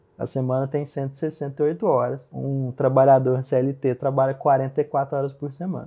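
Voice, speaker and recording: Very slow and flat, a man talks in a monotone. He leaves hardly any pauses. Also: medium pitch for a man. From Minas Gerais, Brazil (Uberaba, Triângulo Mineiro). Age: 30s. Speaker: plastic surgeon. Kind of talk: interview conversation.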